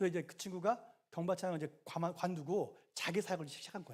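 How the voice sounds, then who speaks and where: A man's high-pitched voice. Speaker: pastor. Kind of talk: bible study. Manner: fast; animated.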